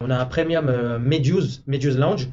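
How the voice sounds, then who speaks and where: With an ordinary speaking voice, a man of fairly high pitch talks at a moderate pace and with fairly even intonation. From France. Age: 20s. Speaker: hotel manager. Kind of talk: interview. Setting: office in a hotel.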